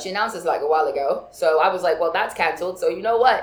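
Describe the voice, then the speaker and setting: There is audible echo from the room. Through it, a woman can be heard talking. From Nigerian heritage. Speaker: podcast co-host. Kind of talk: casual chat.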